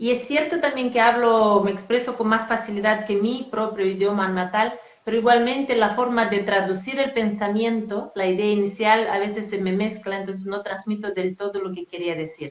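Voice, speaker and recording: A woman with a non-native accent and a fairly high pitch at a moderate pace, with ordinary pitch variation and hardly any pauses, over noticeable background noise. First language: not Spanish (speaking Spanish). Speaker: spiritual coach. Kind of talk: casual conversation. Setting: live stream.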